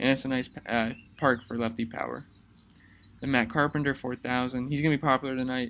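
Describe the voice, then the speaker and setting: The man's pitch is medium, his intonation flat and monotone. He talks at a fairly quick pace. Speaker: fantasy sports analyst. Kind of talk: casual tutorial monologue. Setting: outdoors. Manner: fast.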